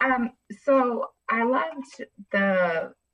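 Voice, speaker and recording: Here a woman talks. Her voice carries a somewhat breathy quality. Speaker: corporate event planner. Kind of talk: live Q&A question.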